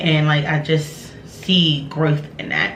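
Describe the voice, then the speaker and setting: Audible room echo and noticeable background noise around a woman's very deep, low voice. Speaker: vlogger. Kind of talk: casual vent to camera. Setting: at home. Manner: casual, candid.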